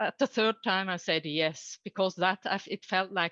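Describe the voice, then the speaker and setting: A woman's medium-pitched voice with a Norwegian accent, bright and sharp in tone, at a fairly slow pace, dry and close with no echo against a quiet background. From Norway. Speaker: coach and trainer. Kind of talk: conference talk. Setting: online conference. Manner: halting.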